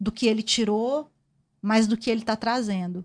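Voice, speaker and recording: A woman's fairly high, somewhat breathy voice with fairly even intonation. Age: 40s. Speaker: journalist. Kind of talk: casual chat.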